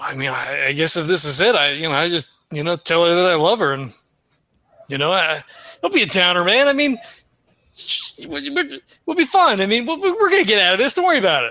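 With long, frequent pauses, a man uses a put-on character voice at a high pitch, a fairly quick pace and very wide pitch swings. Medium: actual play. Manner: mumbling, casual.

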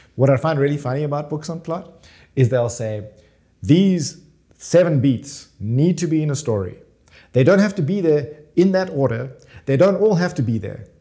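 The speaker has a South African accent and a dark, mellow tone. The pace is moderate and the voice somewhat breathy. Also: man, fairly high pitch for a man, lively intonation. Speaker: screenwriter and author. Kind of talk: interview.

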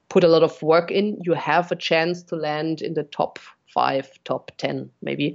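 A woman with a German accent speaks at a moderate pace, her fairly low pitch held in monotone, flat intonation. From Bavaria, Germany; Munich, Germany. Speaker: RC helicopter pilot and content creator. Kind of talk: casual interview chat.

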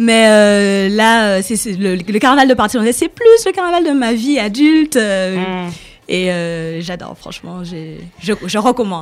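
A woman at medium pitch and a very slow pace, with lively intonation. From Saint Martin, Caribbean. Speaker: guest columnist. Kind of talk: radio segment presentation.

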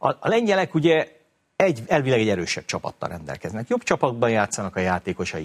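Very fast speech from a man at medium pitch, with very wide pitch swings and vocal fry, in a very clean recording with a silent background and a dry, close sound with no echo. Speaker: football pundit. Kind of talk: casual chat.

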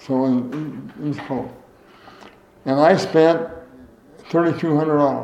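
With an American accent, a man with a fairly high pitch talks at a very slow pace with long, frequent pauses and fairly even intonation, over noticeable background noise. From US Midwest. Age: 80s. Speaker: former state legislator, veteran, interviewee. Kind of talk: oral history interview. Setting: interview at his home.

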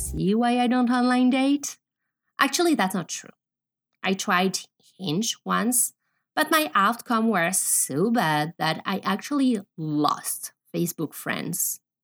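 Very slowly, a woman speaks at a fairly high pitch with very wide pitch swings, on a very clean recording with a silent background and a dry, close sound with no echo. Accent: French. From France. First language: French. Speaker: podcast host. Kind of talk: monologue.

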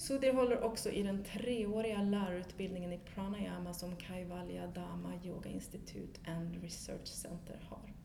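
Speaking with a Swedish accent at a moderate pace, a woman barely pauses, her loudness swinging widely amid noticeable background noise and audible room echo. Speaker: podcast host. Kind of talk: interview; podcast intro. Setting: yoga studio.

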